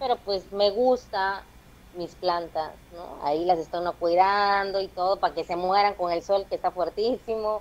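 A woman speaks at a fairly slow pace and medium pitch, with fairly even intonation and a strong Veracruz accent. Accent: strong Veracruz (jarocho) Mexican. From Veracruz, Mexico. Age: 20s. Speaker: stand-up comedian. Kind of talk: casual chat.

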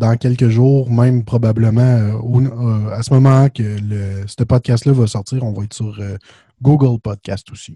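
Dark and mellow in tone, a man speaks at a fairly slow pace with fairly even intonation and a somewhat breathy quality. His loudness swings widely, and the sound is dry and close with no echo. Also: medium pitch for a man. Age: 20s. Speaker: podcast host. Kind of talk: casual chat.

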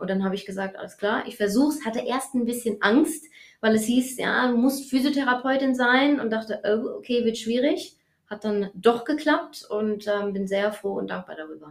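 Using a normal speaking voice, a woman keeps a moderate pace. Her voice sits fairly high, and its pitch varies in an ordinary way. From Germany, Hesse (Taunus). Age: 30s. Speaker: fitness economist and back therapist. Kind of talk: interview.

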